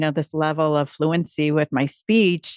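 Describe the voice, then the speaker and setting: An ordinary speaking voice with an American accent moves at a fairly slow pace with fairly even intonation, in a dry, close sound with no echo and a quiet background. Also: woman. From Upstate New York. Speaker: public speaking coach. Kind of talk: interview. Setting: video call.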